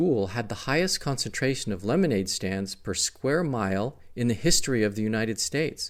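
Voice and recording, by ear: Read aloud in a natural voice with lively intonation.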